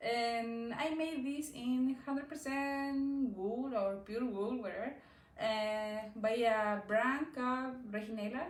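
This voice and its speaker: A woman with a Chilean Spanish accent speaks very slowly in a high voice with ordinary pitch variation, with noticeable background noise and audible room echo. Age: 20s. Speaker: knitting podcaster. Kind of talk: casual chat. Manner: halting.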